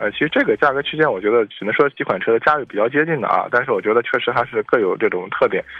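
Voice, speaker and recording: A man talking very fast with hardly any pauses. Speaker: car expert. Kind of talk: radio call-in chat about cars. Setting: radio studio. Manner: hesitant, filler-heavy.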